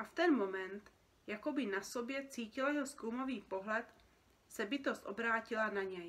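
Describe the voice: The speaker delivers a plain reading aloud.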